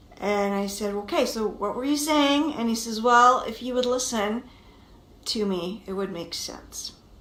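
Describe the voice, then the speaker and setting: With audible room echo, a woman speaks at a fairly slow pace in a fairly high voice with ordinary pitch variation. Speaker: marriage coach. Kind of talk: vlog monologue.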